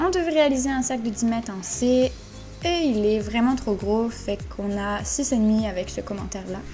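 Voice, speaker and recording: Music plays behind a woman speaking at a moderate pace. Her pitch is fairly high and her intonation lively. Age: 20s. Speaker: dressage rider. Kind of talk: voice-over commentary on a competition video. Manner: casual, conversational.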